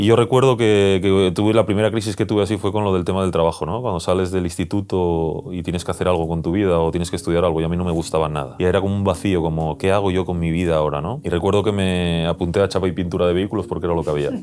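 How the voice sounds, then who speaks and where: Very fast and with hardly any pauses, a man speaks in a very deep, low pitch with fairly even intonation. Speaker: youtuber and former ambulance worker. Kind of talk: personal interview conversation. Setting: cabin in the countryside.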